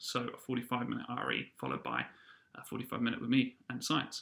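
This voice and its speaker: With a bright, sharp tone, a man talks at a fairly quick pace and keeps his intonation fairly even. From New Zealand. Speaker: school teacher. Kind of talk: video tutorial for students and parents. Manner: casual with many fillers.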